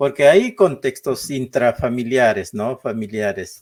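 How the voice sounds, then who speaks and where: A man speaks at a very slow pace with a medium pitch and a Peruvian Amazonian accent. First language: Ashéninka (speaking Spanish). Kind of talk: interview. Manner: halting, many fillers.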